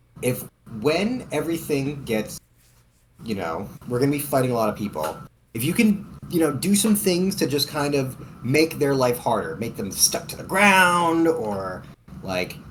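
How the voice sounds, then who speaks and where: A man with a Boston accent talks in a fairly high, somewhat breathy voice with very wide pitch swings. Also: moderate pace. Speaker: tabletop role-playing game player. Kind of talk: in-character role-play. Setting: Discord voice call.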